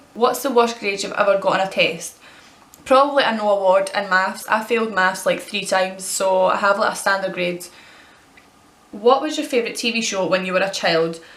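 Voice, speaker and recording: A woman with a Scottish accent talks fairly quickly at a medium pitch with ordinary variation. Noticeable background noise and audible room echo fill the recording. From Scotland. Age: 20s. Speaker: vlogger. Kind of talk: casual Q&A tag video.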